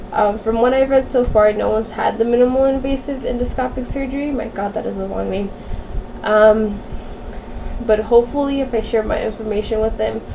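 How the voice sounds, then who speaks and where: Over noticeable background noise, a woman speaks fairly quickly at a fairly high pitch with fairly even intonation. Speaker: vlogger sharing medical diagnosis. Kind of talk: casual vlog. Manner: monotone.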